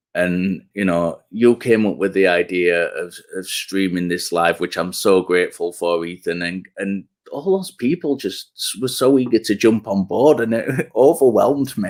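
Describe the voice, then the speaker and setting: This man talks at a moderate pace in a fairly low pitch, his intonation lively. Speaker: YouTube channel host. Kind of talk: casual chat. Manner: halting.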